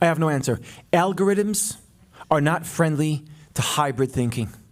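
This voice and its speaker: A man with an Israeli accent speaks at a moderate pace in a fairly high pitch with ordinary pitch variation. The recording is very clean, with a silent background. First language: Hebrew. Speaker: public intellectual and podcast co-host. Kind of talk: public talk with Q&A.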